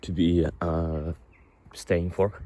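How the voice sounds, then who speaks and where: A man speaks with a non-native accent. His very deep, low pitch carries a dark, mellow tone. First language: not English. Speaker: vlogger. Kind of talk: personal confessional monologue. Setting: outdoors, walking. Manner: halting, many fillers and repetitions.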